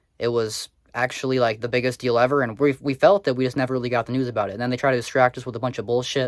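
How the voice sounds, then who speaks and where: A man's very fast speech with fairly even intonation. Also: medium pitch for a man, dry, close sound with no echo. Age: 20s. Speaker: commentary YouTuber. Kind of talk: casual commentary vlog. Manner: casual, many filler words.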